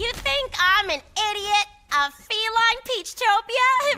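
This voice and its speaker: A shrill, put-on character voice at an extremely high pitch, fairly slow pace, with faint music in the background. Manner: scoffing, incredulous.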